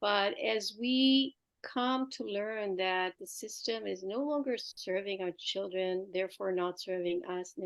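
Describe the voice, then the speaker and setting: In an Israeli accent, a woman with a medium pitch talks at a fairly slow pace with hardly any pauses. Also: ordinary pitch variation. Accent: Israeli accent, mistaken for Quebec French. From Israel (Jerusalem). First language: Hebrew. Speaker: art teacher and homeschooling educator. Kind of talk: interview conversation.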